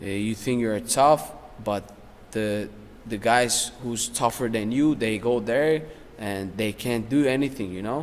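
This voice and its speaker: The man's voice is medium in pitch for a man, with ordinary pitch variation, and he talks at a fairly slow pace. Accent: non-native. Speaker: professional MMA fighter. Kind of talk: casual interview.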